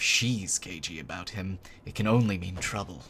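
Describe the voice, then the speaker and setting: A man puts on a character voice with a very deep, low pitch. Hissing runs through the clip. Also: moderate pace, ordinary pitch variation. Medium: game stream. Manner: hissing, wary.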